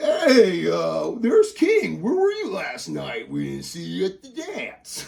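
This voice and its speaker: Using a put-on character voice, a man speaks at a fairly slow pace with hardly any pauses. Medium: actual play. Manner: teasing, boisterous.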